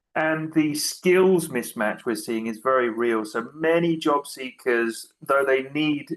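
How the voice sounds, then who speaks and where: A man talks in a British accent. His intonation is lively. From UK. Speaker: tech executive, speaker. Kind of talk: presentation talk.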